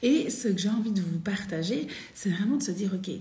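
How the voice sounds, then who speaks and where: Audible room echo and noticeable background noise fill the clip. Within it, a woman keeps a moderate pace. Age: 40s. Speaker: women's spiritual coach. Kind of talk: live stream talk. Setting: live video stream. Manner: animated.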